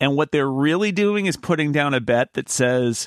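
With an American accent and an unremarkable speaking voice, a man talks at a moderate pace and fairly high pitch with lively intonation, in a dry, close sound with no echo and a very clean recording with a silent background. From rural US. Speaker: podcast host. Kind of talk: casual podcast chat about tech news. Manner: chatty, laughs often.

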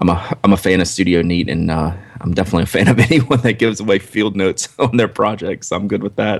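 Fairly quick, nearly pause-free speech from a man with an American accent, fairly low in pitch with ordinary pitch variation, over noticeable background noise. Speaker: podcast co-host. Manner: conversational, relaxed.

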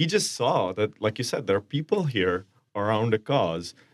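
With an Indian accent, a man speaks at a fairly quick pace in a very clean recording with a silent background. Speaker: soccer supporters group member. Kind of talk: casual chat. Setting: radio studio.

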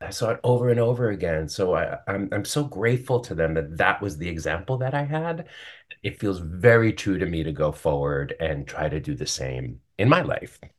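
A man with an American accent and fairly low pitch speaks at a moderate pace with very wide pitch swings, against a quiet background. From US Northeast, New York City. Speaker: Broadway actor. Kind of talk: casual interview. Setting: video call.

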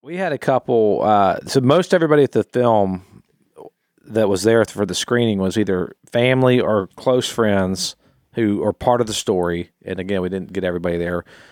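In a normal speaking voice, a man at fairly low pitch talks at a moderate pace with ordinary pitch variation, the sound dry and close with no echo. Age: 40s. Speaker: podcast contributor. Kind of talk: casual chat.

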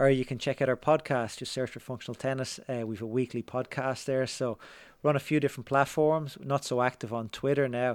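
A man with an Irish accent and a medium pitch talks at a fairly quick pace, keeping his intonation fairly even. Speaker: tennis writer and podcaster. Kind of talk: casual interview conversation. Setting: remote call.

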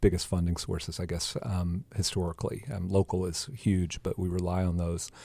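A man with a very deep, low pitch and a dark, mellow tone is heard in a very clean recording with a silent background. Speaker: incoming school board member. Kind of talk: radio interview. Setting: studio.

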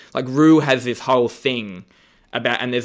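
There's an Australian accent in this man's medium-pitched voice. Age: 30s. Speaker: comedian and drag show judge. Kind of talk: casual chat.

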